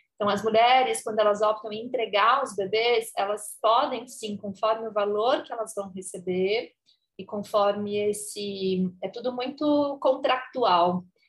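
Speaking at a fairly slow pace, a woman with a fairly high pitch uses an ordinary speaking voice, ordinary pitch variation and big swings in loudness. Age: 30s. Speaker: adoption doula and educator. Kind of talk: casual interview chat.

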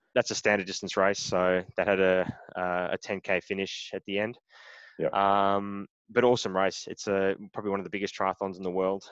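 Monotone and flat, a man with an Australian accent talks at a fairly quick pace in a fairly low pitch, the sound dry and close with no echo. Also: quiet background. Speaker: triathlete. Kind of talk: casual interview. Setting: remote call.

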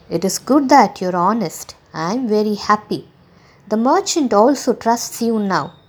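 Reading voice, natural

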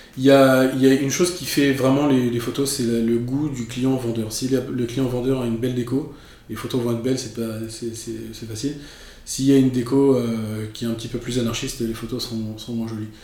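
Audible room echo carries a man's monotone, flat delivery at a moderate pace. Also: medium pitch for a man. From France, raised in Paris. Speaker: real estate photographer. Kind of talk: interview. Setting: studio.

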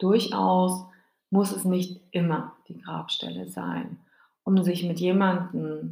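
Her tone warm, a woman speaks at a very slow pace. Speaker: grief podcast host. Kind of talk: solo podcast monologue to listener. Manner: warm, personal direct address.

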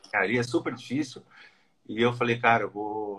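A man talks at a moderate pace with fairly even intonation. It is a normal speaking voice. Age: 40s. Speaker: former engineer learning day trading. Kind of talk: casual interview.

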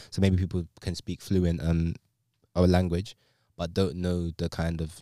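In a London accent, a man talks with a very deep, low pitch. The recording is very clean, with a silent background. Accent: London English, multicultural London. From London, England (Sierra Leonean heritage). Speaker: podcast co-host. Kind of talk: casual chat.

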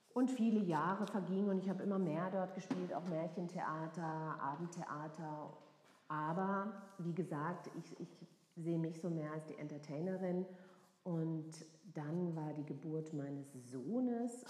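The speech comes at a fairly slow pace with a slight Baden accent and audible room echo. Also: woman. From southwest Germany, near Freiburg. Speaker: actress and cabaret performer. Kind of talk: casual chat. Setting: make-up styling session.

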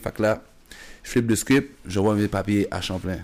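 A man's ordinary speaking voice, fairly low in pitch and fairly quick in pace, with fairly even intonation, on a very clean recording with a silent background. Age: 30s. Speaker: basketball coach and former player. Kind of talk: casual chat.

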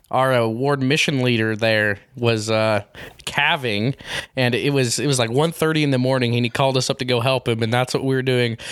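A man with an American accent speaks at a moderate pace and a medium pitch, his intonation fairly even over noticeable background noise. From Utah. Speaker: sports podcast host. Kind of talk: casual interview.

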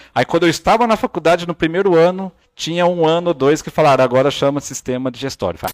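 Pitched high for a man, his animated voice moves at a fairly quick pace with ordinary pitch variation. The recording is very clean and silent in the background, with a dry, close sound and no echo. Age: 30s. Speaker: body language analyst. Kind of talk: casual chat.

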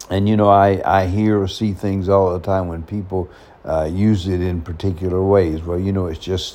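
This man has a very deep, low pitch and a monotone, flat intonation. He talks at a moderate pace over noticeable background noise. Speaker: podcast host talking about personality types. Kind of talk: casual monologue. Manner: halting, many fillers.

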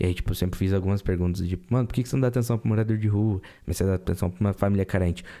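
Very deep and low, a man's voice moves at a very fast pace with ordinary pitch variation. The recording is very clean, and the background is silent. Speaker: podcast host. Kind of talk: casual chat.

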